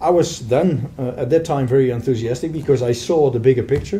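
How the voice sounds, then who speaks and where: A man speaks with a Dutch accent and a somewhat breathy, dark, mellow tone. His pitch varies in an ordinary way. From Netherlands, Rotterdam area; Netherlands. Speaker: software sales manager; interviewee. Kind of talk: interview. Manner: halting. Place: meeting room. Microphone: camera far.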